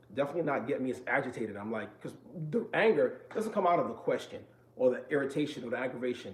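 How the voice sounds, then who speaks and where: Talking at a very fast pace with an American accent, a man sounds somewhat breathy, his pitch varying in an ordinary way. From New York. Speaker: vlogger sharing mental health experience. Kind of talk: casual vlog talk to viewers. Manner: fast-talking.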